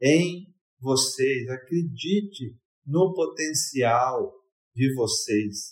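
A man is speaking. His pitch swings very widely. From Brazil, Espírito Santo (Vila Velha). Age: 50s. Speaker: university professor. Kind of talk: interview.

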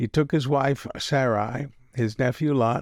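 This man has an ordinary speaking voice with an American accent. His pitch is medium and his intonation fairly even. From Texas. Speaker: pastor. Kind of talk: audiobook-style scripture reading, solemn and measured. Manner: warm, gently pastoral.

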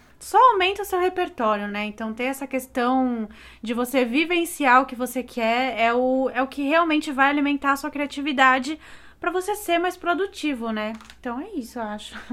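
This woman has a high pitch and lively intonation. Her pace is moderate. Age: 20s. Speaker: graphic designer, podcast co-host. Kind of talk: casual chat.

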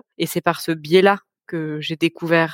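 A normal speaking voice, this woman talks at a fairly slow pace with fairly low pitch and fairly even intonation, the sound dry and close with no echo on a very clean recording over a silent background. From French Alps (Mont Blanc area). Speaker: sustainable finance manager. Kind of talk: podcast interview.

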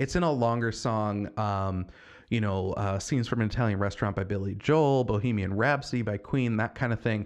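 The pace of this man's speech is moderate. His pitch shifts an ordinary amount. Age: 20s. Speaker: podcast host. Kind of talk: casual solo talk. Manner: hesitant, many fillers.

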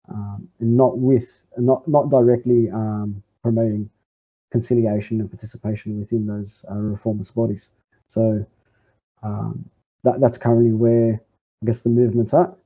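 With an Australian accent, a man speaks at a moderate pace in a medium pitch, his intonation fairly even and broken by long, frequent pauses. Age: 20s. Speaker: communist party member. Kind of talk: interview. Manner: halting.

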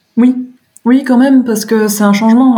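A woman talks in a room with audible echo. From France, Moselle (Lorraine). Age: 30s. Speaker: interviewee sharing coming-out story. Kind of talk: personal testimony interview. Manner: hesitant, many fillers and repetitions.

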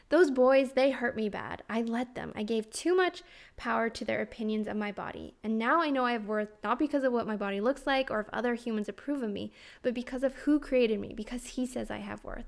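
A high-pitched woman's voice at a fairly quick pace with ordinary pitch variation, in a very clean recording against a silent background. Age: 30s. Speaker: health and life coach, podcast host. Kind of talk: reading aloud from her memoir.

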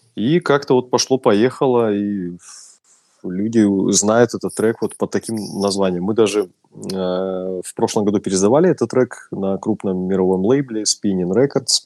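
An unremarkable speaking voice talks at a fairly slow pace with ordinary pitch variation, in a dry, close sound with no echo on a very clean recording with a silent background. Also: man, fairly low pitch for a man. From Russia. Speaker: DJ and music producer. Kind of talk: casual interview.

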